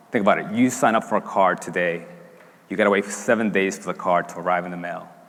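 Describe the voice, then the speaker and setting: Speaking very fast with a Spanish accent, a man with a fairly low voice keeps fairly even intonation, though his loudness swings a lot. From Dominican Republic. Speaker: startup founder and CEO. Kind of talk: product launch pitch on stage.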